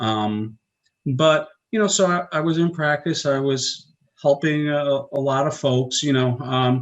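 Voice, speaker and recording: A man talks with a New York accent. His voice is fairly high. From US Northeast, Long Island, New York. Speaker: chiropractor. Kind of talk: interview.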